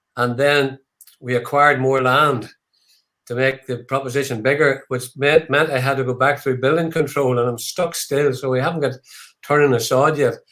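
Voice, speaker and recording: Using monotone, flat intonation, a man with an Irish accent speaks at medium pitch and a moderate pace. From Ireland. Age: 70s. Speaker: whiskey distillery founder. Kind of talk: live online tasting chat. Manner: halting, many fillers.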